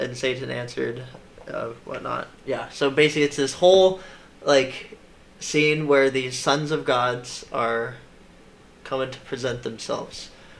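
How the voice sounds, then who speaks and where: Long, frequent pauses break up a man's speech at a fairly slow pace. His medium pitch carries fairly even intonation. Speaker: Bible teacher. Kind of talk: casual Bible study discussion. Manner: halting, many fillers.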